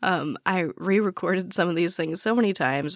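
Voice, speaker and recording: A woman speaks with vocal fry and lively intonation. The sound is dry and close, with no echo. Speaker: true crime podcaster. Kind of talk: casual chat. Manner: casual, filler-heavy.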